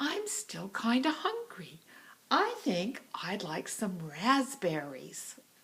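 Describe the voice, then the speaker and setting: A woman puts on a character voice at a fairly high pitch. She speaks at a very slow pace. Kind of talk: children's story voice. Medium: read story.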